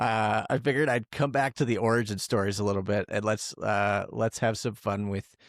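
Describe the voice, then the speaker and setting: With an American accent and an unremarkable speaking voice, a man speaks at a fairly low pitch with fairly even intonation on a very clean, silent-background recording that sounds dry and close, with no echo. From Tucson, Arizona. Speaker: podcast host. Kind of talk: podcast interview.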